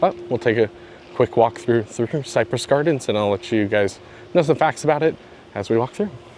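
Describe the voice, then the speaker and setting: A man talks with lively intonation at a medium pitch while noticeable background noise continues. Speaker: theme park vlogger. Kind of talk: walking vlog narration. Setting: outdoors in a theme park garden. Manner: quiet.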